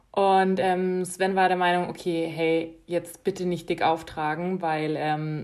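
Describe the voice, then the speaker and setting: A woman speaks at a very slow pace in a fairly low, monotone voice with flat intonation. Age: 20s. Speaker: podcast co-host. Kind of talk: casual chat. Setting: small apartment.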